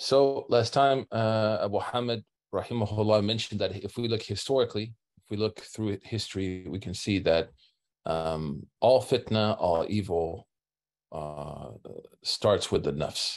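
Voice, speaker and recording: A man's fairly low voice at a fairly slow pace, with ordinary pitch variation and a quiet background. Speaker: religious teacher. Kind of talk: lecture. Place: home room. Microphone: webcam.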